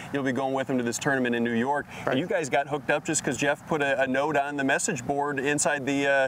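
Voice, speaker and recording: Noticeable background noise sits behind a man with a fairly high voice. He talks at a fairly quick pace with fairly even intonation. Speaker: TV news reporter. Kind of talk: TV news field report.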